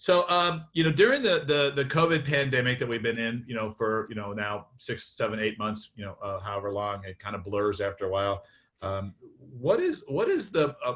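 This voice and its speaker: Here a man speaks at a medium pitch. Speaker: workshop facilitator. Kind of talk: facilitated group discussion. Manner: fast; halting, many fillers.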